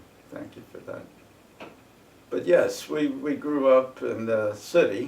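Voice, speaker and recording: Amid audible room echo, a man with an American accent speaks at a very slow pace with big swings in loudness. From northern New Jersey. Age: 90s. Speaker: war veteran. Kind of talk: oral history interview. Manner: halting.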